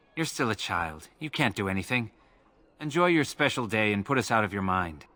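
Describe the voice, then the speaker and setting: At a fairly quick pace, a man performs a put-on character voice at medium pitch, recorded very cleanly against a silent background. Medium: video game.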